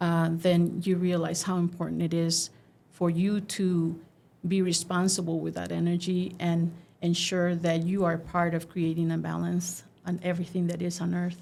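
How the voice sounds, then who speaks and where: A woman's fairly low, dark and mellow voice, flat and monotone in intonation, at a moderate pace. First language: Spanish. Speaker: artist. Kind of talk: interview. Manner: halting.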